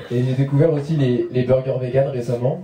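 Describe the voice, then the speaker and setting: A man speaks in a fairly high, somewhat breathy voice with ordinary pitch variation. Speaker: stand-up comedian. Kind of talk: stand-up. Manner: fast; mumbling, poor articulation.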